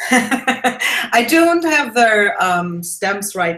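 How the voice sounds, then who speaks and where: A woman is speaking. She has a German accent. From Germany. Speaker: mixed media artist and art teacher. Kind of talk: casual interview. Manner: hesitant with many fillers.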